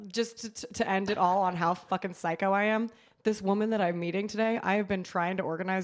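A woman with an American accent speaks at a fairly quick pace in an unremarkable speaking voice, her medium pitch and fairly even intonation captured on a very clean recording with a silent background. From California coast, near San Francisco. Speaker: horror writer and comedian. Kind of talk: casual chat.

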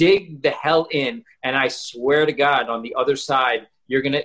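Pitched fairly high, a man talks in a plain, everyday voice with ordinary pitch variation. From Florida (West Palm, Pembroke Pines), born in New York. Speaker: entrepreneur and social media influencer. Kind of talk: casual interview.

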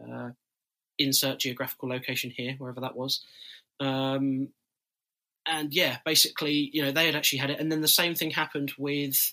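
In a British accent, a man with a fairly high voice and a bright, sharp tone speaks at a fairly quick pace in a monotone, flat way, broken by long, frequent pauses. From UK. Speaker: roller coaster YouTuber. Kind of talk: casual podcast chat.

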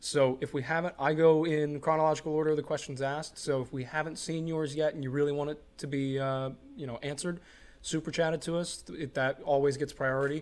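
A man's fairly high, monotone, flat delivery at a very fast pace. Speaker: podcast co-host and producer. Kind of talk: casual chat.

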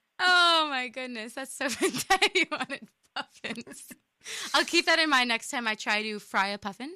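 A woman's high-pitched, raised and projected voice at a moderate pace, with a dry, close sound and no echo. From US Midwest, Indiana. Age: 20s. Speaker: community radio co-host. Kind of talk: casual chat. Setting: studio.

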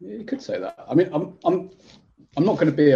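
A man with a dark, mellow tone and vocal fry speaks at a very fast pace, his pitch swinging very widely. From Leicester, England. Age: 30s. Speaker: magazine editor. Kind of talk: casual chat.

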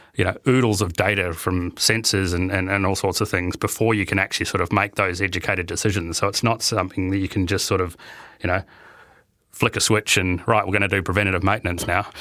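With a New Zealand accent, a man speaks very fast in a very deep, low, bright and sharp voice. His intonation is monotone and flat, his loudness very even, and the recording very clean with a silent background. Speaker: IT infrastructure and innovation manager. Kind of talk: interview. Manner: hesitant, many fillers and repetitions.

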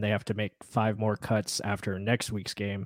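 A man with a plain, everyday voice speaks at a medium pitch and moderate pace, the sound dry and close with no echo on a very clean recording with a silent background. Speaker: podcast host.

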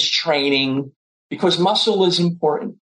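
Moderate pacing and ordinary pitch variation from a man with an ordinary speaking voice. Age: 60s. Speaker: chiropractic physician and nutrition professor. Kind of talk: casual chat.

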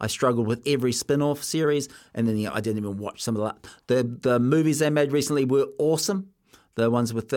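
The recording is very clean, with a silent background. A man with a New Zealand accent talks at a fairly quick pace, medium in pitch with ordinary pitch variation. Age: 20s. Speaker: sports radio host. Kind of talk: casual radio chat.

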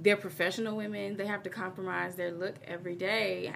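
A woman with an American accent speaks at a moderate pace with vocal fry. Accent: slight twang. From US Midwest, Chicago. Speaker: hair stylist and fitness and style expert. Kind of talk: casual interview.

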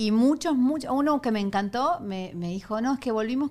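High female voice, lively in intonation, at a moderate speed. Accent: Argentine. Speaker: comedian. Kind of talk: casual chat.

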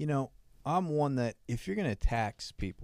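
In an ordinary speaking voice, a man talks at a moderate pace with lively intonation. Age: 30s. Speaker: podcast co-host. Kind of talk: casual chat.

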